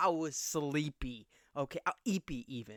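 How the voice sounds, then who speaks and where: Loud and animated, a man with a fairly high pitch speaks with lively intonation in a dry, close sound with no echo, on a very clean recording with a silent background. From small conservative town. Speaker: podcast host. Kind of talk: casual chat.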